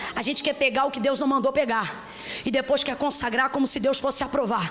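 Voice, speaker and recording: Over noticeable background noise, the speech runs at a fairly quick pace. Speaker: preacher. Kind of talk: sermon. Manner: animated.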